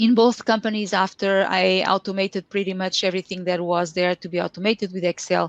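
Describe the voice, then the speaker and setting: This woman talks with a Portuguese accent and fairly even intonation. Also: dry, close sound with no echo. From Portugal. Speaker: Excel consultant and trainer. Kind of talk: lecture. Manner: halting.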